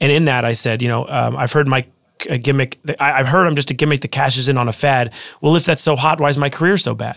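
A man with an American accent at a very fast pace, with vocal fry and fairly even intonation. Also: medium pitch for a man. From Los Angeles, California. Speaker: author and former rapper. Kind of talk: casual interview.

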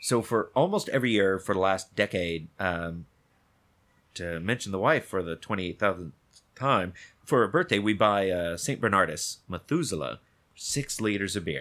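This man has an ordinary speaking voice at a fairly low pitch. He talks at a moderate pace with ordinary pitch variation. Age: 30s. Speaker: actor. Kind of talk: casual chat. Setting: studio.

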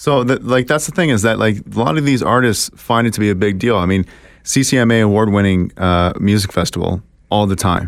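Here a man speaks with ordinary pitch variation. It is a plain, everyday voice. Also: fairly low pitch for a man, fairly quick pace. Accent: Canadian. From Ontario, Canada (Kitchener). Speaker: podcast host. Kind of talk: casual chat.

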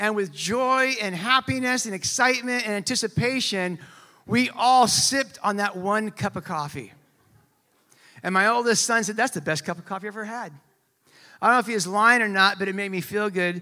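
A man's raised, projected voice, high in pitch with a bright, sharp tone, at a fairly quick pace with ordinary pitch variation, on a very clean recording with a silent background. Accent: American. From California, US. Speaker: pastor. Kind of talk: sermon. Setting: church. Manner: casual, conversational.

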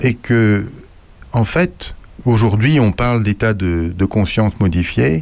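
A man at a very slow pace. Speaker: radio columnist. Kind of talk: casual chat.

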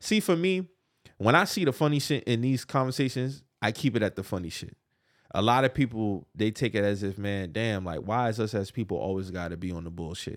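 A man speaks at a fairly quick pace with a medium pitch and lively intonation, in a plain, everyday voice on a very clean recording with a silent background. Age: 30s. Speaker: podcast co-host. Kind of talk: casual chat.

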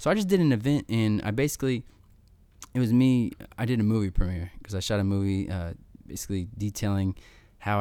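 A man with an American accent speaks at a fairly quick pace in a fairly low pitch, his tone dark and mellow, on a very clean recording with a silent background. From Missouri, US Midwest. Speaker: war veteran and motivational speaker. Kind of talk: casual interview. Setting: in person, same room as host.

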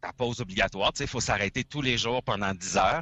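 A man with a Quebec accent talks with vocal fry. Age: 40s. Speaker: trucker, former radio host. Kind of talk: casual chat.

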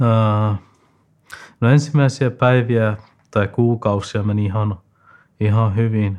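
On a very clean recording with a silent background, a medium-pitched man speaks at a very slow pace with long, frequent pauses. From Afghanistan. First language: not Finnish (speaking Finnish). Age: 20s. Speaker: student. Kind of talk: interview. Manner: halting, many fillers.

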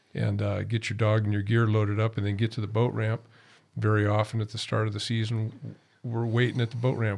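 Fairly fast and somewhat breathy, a man speaks at a fairly low pitch with flat, monotone intonation. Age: 60s. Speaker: duck hunter, father. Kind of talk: casual chat.

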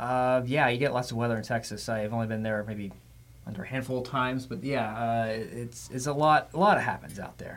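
A man with an American accent at a medium pitch, fairly quick pace and fairly even intonation, with audible room echo. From Florida. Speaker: TV meteorologist, podcast host. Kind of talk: casual interview.

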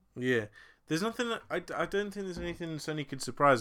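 A man with an English accent speaks at a fairly quick pace in a bright, sharp tone, on a very clean recording with a silent background. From England. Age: 20s. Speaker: podcast co-host. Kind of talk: casual chat.

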